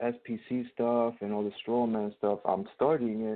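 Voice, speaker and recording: A man with a New York accent talks at a moderate pace. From New York, Queens. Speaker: caller. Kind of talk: casual chat. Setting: phone call.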